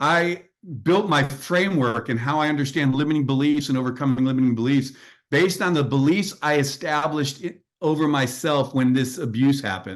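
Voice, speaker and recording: Against a quiet background, a man with a plain, everyday voice speaks at a fairly quick pace, fairly high in pitch with ordinary pitch variation. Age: 60s. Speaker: executive coach and author. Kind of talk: podcast interview.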